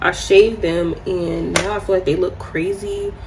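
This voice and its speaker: A soft-spoken woman talks with an American accent. Noticeable background noise and audible room echo are present. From New York. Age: 20s. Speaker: beauty vlogger. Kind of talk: casual chat.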